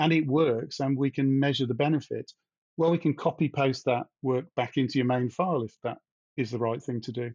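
With a British accent, the speaker moves at a moderate pace and uses ordinary pitch variation. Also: man. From UK. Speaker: independent developer. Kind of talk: casual conversation.

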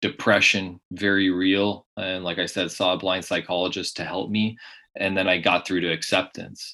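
In a Californian accent, a man speaks with a very deep, low pitch and a bright, sharp tone, flat and monotone at a fairly slow pace. The recording is very clean with a silent background. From US West Coast, San Diego area. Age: 30s. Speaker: blind golf champion. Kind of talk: interview.

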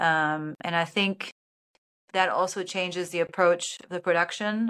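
In a German accent, the voice has a bright, sharp tone and a dry, close sound with no echo. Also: woman. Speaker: film and sports broadcast producer. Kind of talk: casual interview chat. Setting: video call. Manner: hesitant, with repeated words and fillers.

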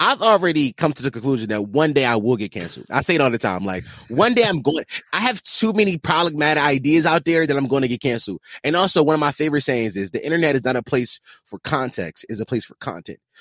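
Very fast and full of vocal fry, a man's fairly high voice swings widely in pitch in a dry, close sound with no echo. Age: 20s. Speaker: podcaster. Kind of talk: casual chat.

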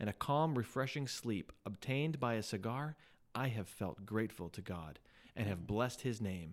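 A man speaks with lively intonation in an unremarkable speaking voice. The recording is very clean, with a silent background. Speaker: pastor and podcast host. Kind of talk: casual chat.

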